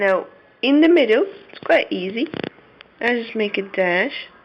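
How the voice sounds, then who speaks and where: Very slowly, a woman speaks against noticeable background noise. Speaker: Arabic teacher. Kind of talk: tutorial.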